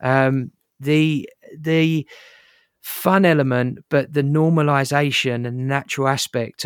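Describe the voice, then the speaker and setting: Man with a plain, everyday voice, medium pitch and fairly even intonation, dry, close sound with no echo, very clean recording and silent background. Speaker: podcast host. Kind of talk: interview.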